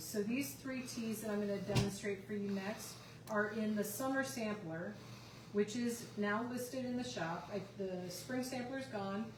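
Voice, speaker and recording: A woman of medium pitch speaks at a moderate pace. Audible room echo and noticeable background noise fill the recording. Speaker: tea shop owner demonstrating teas. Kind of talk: live stream demo. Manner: loud.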